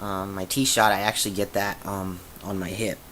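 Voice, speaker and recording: A man's voice, bright and sharp in tone, with fairly even intonation. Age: 20s. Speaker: vlogger sharing transition update. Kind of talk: casual video diary. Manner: halting, many fillers.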